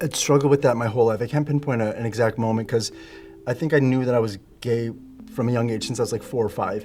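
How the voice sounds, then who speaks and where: A very fast man of medium pitch with a Canadian accent and fairly even intonation, music in the background. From Canada. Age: 40s. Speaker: former professional dancer. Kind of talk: interview.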